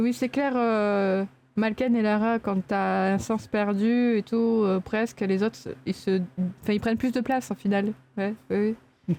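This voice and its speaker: Over a quiet background, the voice has a dark, mellow tone and very even loudness, moving at a fairly slow pace. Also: woman, fairly high pitch for a woman. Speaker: streamer reacting to a documentary. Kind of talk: casual chat. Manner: animated. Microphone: mic placed close.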